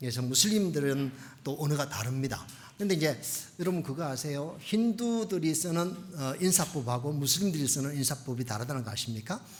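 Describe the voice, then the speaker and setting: With lively intonation and a fairly high pitch, a man talks at a fairly quick pace in audible room echo. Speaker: missionary pastor. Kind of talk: sermon. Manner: fast; animated.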